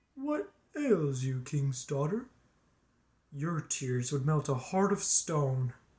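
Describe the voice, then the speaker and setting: The speaker uses a put-on character voice in a low-to-middle pitch. Delivery is very slow, with long, frequent pauses. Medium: read story.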